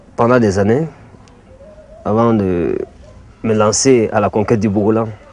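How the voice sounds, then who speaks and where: Over noticeable background noise, a man at medium pitch speaks at a fairly slow pace with very even loudness. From Mali. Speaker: art teacher and bogolan artist. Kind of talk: interview testimony. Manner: hesitant, with frequent fillers.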